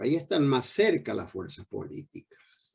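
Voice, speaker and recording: A man talks with a dark, mellow tone and ordinary pitch variation. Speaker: veteran politician. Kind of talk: panel discussion.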